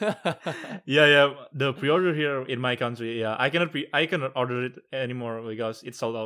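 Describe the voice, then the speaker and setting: With ordinary pitch variation and a bright, sharp tone, a man of medium pitch is heard on a very clean recording over a silent background. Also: moderate pace. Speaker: podcast host. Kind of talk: casual chat. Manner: casual, informal, stumbling speech.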